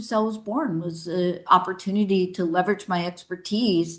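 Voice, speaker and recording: A woman talks at a moderate pace. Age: 60s. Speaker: sales executive and author. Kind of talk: interview. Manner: halting.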